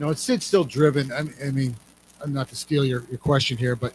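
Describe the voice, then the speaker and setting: A man's plain, everyday voice, medium in pitch, fairly quick in pace, with fairly even intonation. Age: 60s. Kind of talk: casual chat.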